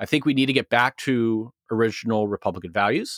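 With fairly even intonation and an ordinary speaking voice, a man talks at a moderate pace, the sound dry and close with no echo. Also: very clean recording, silent background. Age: 30s. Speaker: marketing executive and former pastor. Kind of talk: casual interview.

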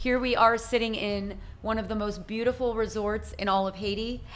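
With a bright, sharp tone and vocal fry, a woman with a fairly high pitch speaks at a moderate pace. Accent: American. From US, Italian American family. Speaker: nonprofit founder and business coach. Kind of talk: casual interview. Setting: resort in Haiti.

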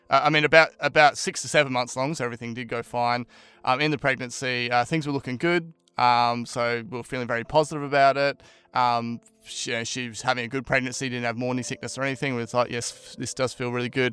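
A man with an Australian accent talks at a very fast pace in a bright, sharp tone, his medium pitch holding fairly even intonation. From Brisbane, Australia. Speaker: podcast guest sharing mental health story. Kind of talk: casual interview, personal testimony.

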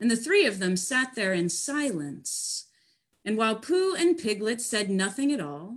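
Natural-voiced reading aloud against a quiet background

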